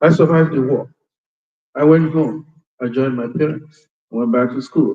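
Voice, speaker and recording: This man has a Nigerian accent and a fairly high pitch. He talks at a moderate pace with fairly even intonation. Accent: Nigerian Igbo English. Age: 70s. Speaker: war veteran. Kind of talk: testimony.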